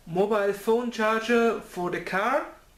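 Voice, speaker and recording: The speech moves at a very slow pace, with noticeable background noise behind it. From Germany. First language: German. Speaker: electronics hobbyist. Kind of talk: electronics teardown tutorial. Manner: casual, hesitant.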